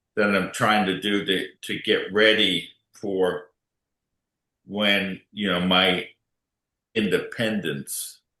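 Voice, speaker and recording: With an American accent, a man speaks very slowly in a very deep, low voice. His intonation stays fairly even. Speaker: ALS patient and advocate. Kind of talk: panel discussion. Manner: halting.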